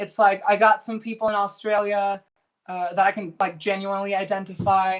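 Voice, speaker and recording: A woman speaks at a moderate pace. Her pitch sits in the medium range. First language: Spanish. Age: 20s. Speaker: indie pop musician and college student. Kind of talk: casual chat.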